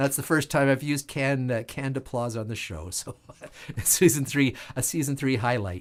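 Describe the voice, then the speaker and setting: This man has a medium pitch with ordinary pitch variation. The recording is very clean, with a silent background. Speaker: online show host and musician. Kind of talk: casual live-stream talk. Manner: fast; hesitant fillers.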